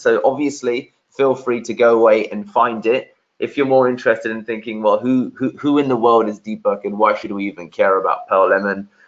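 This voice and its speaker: Fairly quick speech comes through. It is delivered in a London accent. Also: man. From London, England. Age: 30s. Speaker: SEO agency founder, webinar speaker. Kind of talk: webinar presentation. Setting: video call from sister's conservatory. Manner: repetitive filler-heavy delivery.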